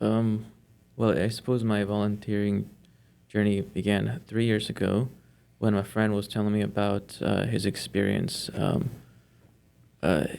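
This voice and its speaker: Delivered at a fairly slow pace with long, frequent pauses, a man's speech in a Spanish accent keeps fairly even intonation and very even loudness. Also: fairly low pitch for a man. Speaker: volunteer tutor. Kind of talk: interview. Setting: studio.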